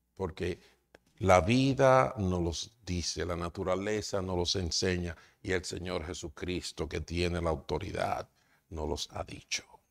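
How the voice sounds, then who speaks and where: Against a quiet background, a man talks fairly slowly at a very deep, low pitch. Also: ordinary pitch variation. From Dominican Republic. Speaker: pastor. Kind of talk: sermon. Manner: halting. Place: church. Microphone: lapel.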